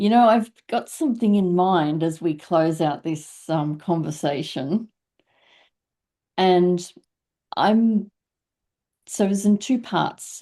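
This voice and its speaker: A woman speaks at a very slow pace with long, frequent pauses, in a fairly low pitch with ordinary pitch variation. Her tone is dark and mellow, and the background is quiet. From Australia. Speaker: podcast host. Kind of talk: interview conversation.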